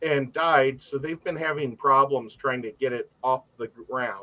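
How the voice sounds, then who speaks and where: A man with an American accent and a bright, sharp tone. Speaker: aquarium hobbyist. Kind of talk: casual chat.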